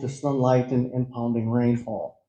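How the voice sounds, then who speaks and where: Here is a man with an American accent and a dark, mellow tone. He is somewhat breathy and speaks at a fairly slow pace. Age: 60s. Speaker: farmer. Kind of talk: presentation. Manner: halting.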